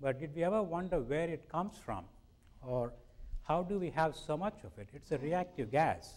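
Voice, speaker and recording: A man's fairly high voice with vocal fry, lively intonation and a fairly quick pace. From India. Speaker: scientist. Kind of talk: public lecture.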